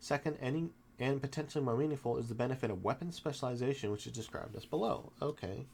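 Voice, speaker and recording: Words pour out at a very fast pace with ordinary pitch variation. The voice is somewhat breathy. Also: man, medium pitch for a man. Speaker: tabletop game reviewer. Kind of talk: casual book look-through to camera. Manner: halting, stumbles over words.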